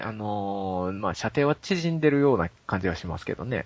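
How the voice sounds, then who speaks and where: Talking at a fairly quick pace, a man's voice moves in very wide pitch swings. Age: 20s. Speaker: game streamer. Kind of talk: casual chat.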